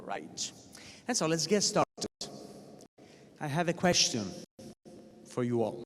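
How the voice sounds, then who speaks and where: A man speaks with an Italian accent at a moderate pace, his fairly high pitch swinging very widely and showing vocal fry. Long, frequent pauses break up the speech, and the sound is dry and close with no echo. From Italy. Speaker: professor. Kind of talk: lecture. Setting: stage with audience.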